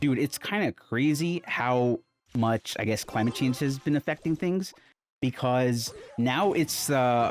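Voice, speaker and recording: A man at medium pitch with ordinary pitch variation, fairly slow delivery, very even loudness, a dry, close sound with no echo, and music in the background. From India, with high school years in Calgary, Canada. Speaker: gaming streamer. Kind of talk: casual gameplay commentary. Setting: home recording studio. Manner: animated.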